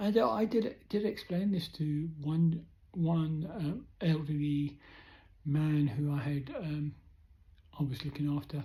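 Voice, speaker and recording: A woman with a British accent speaks very slowly in a very deep, low voice that is somewhat breathy. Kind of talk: personal vlog monologue. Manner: hesitant, many fillers.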